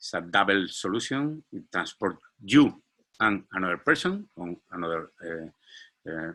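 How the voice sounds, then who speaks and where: This man has a very deep, low pitch and a bright, sharp tone, talking at a fairly slow pace with ordinary pitch variation. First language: Spanish. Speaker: startup founder and CEO. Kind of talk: business presentation. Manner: halting, many fillers and repetitions.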